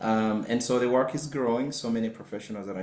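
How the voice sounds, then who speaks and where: A man at a fairly quick pace, ordinary pitch variation, audible room echo. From Uganda. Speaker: marriage and family therapist, professor. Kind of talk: webinar self-introduction. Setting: video call webinar.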